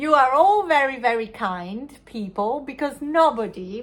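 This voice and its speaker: In an Italian accent, the speaker moves at a fairly slow pace with very wide pitch swings. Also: woman. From Italy. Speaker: knitting podcaster. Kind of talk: casual chat. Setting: home crafting corner. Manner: halting.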